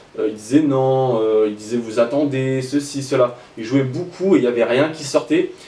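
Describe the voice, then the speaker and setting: With hardly any pauses, a man of medium pitch speaks in a dark, mellow tone, showing ordinary pitch variation and big swings in loudness. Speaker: rap news YouTuber. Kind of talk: casual commentary. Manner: fast.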